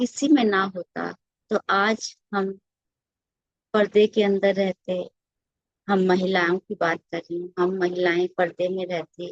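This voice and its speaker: A woman talks at a medium pitch. The sound is dry and close, with no echo. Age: 60s. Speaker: retired content creator. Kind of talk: personal monologue to camera. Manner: conversational, with hesitations.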